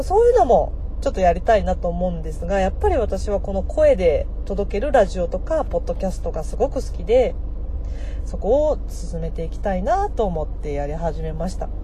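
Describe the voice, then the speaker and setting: A woman's fairly quick speech comes with audible room echo and noticeable background noise. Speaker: MC and former radio personality. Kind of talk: solo podcast monologue.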